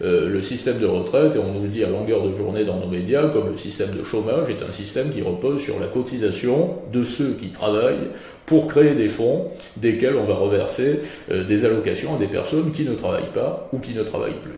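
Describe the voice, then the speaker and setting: Amid noticeable background noise and audible room echo, a man speaks at a medium pitch and moderate pace with lively intonation. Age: 20s. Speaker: philosopher and essayist. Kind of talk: interview.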